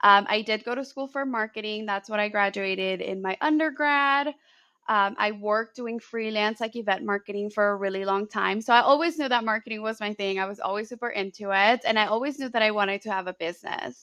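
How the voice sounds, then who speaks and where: With a Spanish accent and a bright, sharp tone, a woman talks at a fairly quick pace with hardly any pauses against a quiet background. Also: fairly high pitch for a woman, ordinary pitch variation. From Colombia (Bogotá) then US Bay Area from age 11. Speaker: marketing educator and business owner. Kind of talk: interview conversation.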